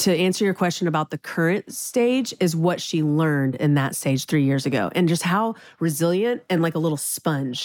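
A plain, everyday voice with an American accent and ordinary pitch variation, on a very clean recording with a silent background. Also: woman. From Texas, Houston. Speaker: restaurant co-owner. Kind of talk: casual chat.

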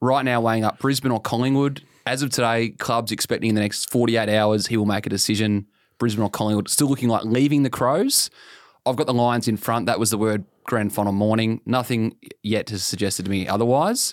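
The pace is fairly quick, with fairly even intonation and an Australian accent. The recording is very clean, with a silent background. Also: man, medium pitch for a man, very even loudness. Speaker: football journalist, podcast co-host. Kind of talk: casual chat. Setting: studio, face to face.

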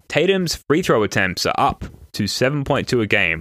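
Over a silent background in a very clean recording, a man talks at a fairly quick pace with a bright, sharp tone and a dry, close sound with no echo. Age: 30s. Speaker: basketball podcast host. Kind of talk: casual chat.

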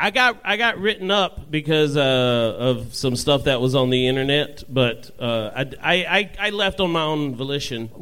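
Noticeable background noise sits behind a man's voice. He speaks at a moderate pace with lively intonation. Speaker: stand-up comedian. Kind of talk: live comedy show banter. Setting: stage with audience.

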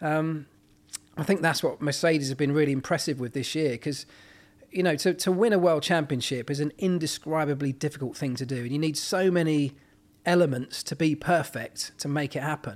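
A man talks in a British accent at a fairly quick pace. His pitch is fairly high with ordinary variation, on a very clean recording with a silent background. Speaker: former Formula One mechanic and motorsport pundit. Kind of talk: casual podcast interview. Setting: in person on a sofa at hosts' home.

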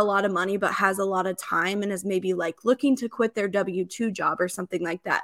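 A woman speaks in a normal speaking voice with an American accent, at medium pitch and a fairly quick pace. The recording is very clean with a silent background and a dry, close sound with no echo. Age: 30s. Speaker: real estate investor. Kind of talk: interview.

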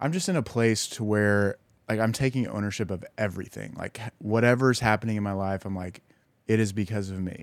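A man with an ordinary speaking voice talks at a fairly quick pace. His pitch is fairly low, with ordinary variation. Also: very clean recording, silent background. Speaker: partner of reality star. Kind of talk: casual chat.

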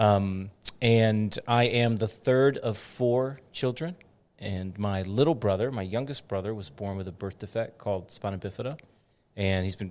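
On a very clean recording with a silent background, a man with an American accent and a plain, everyday voice speaks at a moderate pace, with a fairly low pitch and fairly even intonation. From Dallas-Fort Worth, Texas. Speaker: pastor. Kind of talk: casual chat.

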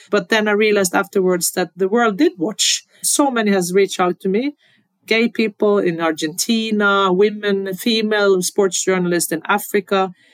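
With a Norwegian accent, a woman speaks at a medium pitch and moderate pace, her loudness very even and her intonation fairly even, on a very clean recording with a silent background. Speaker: football federation president. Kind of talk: interview.

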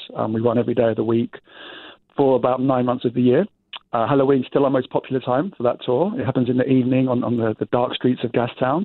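A very fast man's voice with an English accent, medium in pitch and fairly even in intonation. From England, London. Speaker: walking tour company owner. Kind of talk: interview.

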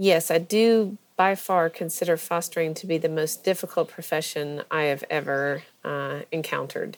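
A woman's unremarkable speaking voice with ordinary pitch variation, in a very clean recording with a silent background. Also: fairly low pitch for a woman, moderate pace. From US South, Georgia (Athens). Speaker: foster parent. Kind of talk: interview.

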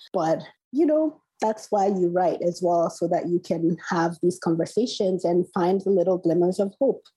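A woman with a Nigerian accent, a dark, mellow tone and medium pitch, at a moderate pace, with very even loudness and ordinary pitch variation. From Nigeria, Port Harcourt. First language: Igbo. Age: 40s. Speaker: novelist. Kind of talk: interview. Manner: hesitant, many fillers.

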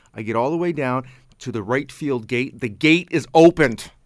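Speaking in a normal speaking voice with a Canadian accent, a man talks at a moderate pace and medium pitch with ordinary pitch variation on a very clean recording with a silent background. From Canada. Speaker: local cable TV host. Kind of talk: casual chat. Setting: radio studio.

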